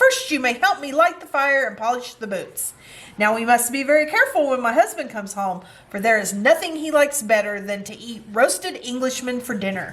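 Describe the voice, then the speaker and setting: Using a put-on character voice, a woman talks at a high pitch and a fairly quick pace. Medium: read story.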